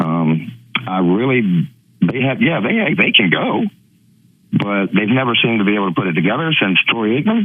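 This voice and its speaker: This man's voice sits fairly low and moves at a moderate pace with lively intonation. He leaves long, frequent pauses. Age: 60s. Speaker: sports radio caller. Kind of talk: call-in radio chat. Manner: halting.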